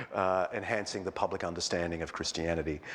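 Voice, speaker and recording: The speaker, a man, talks with an Australian accent. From Australia, Sydney. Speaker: historian and clergyman. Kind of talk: public lecture. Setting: church with live audience. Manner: conversational with many fillers.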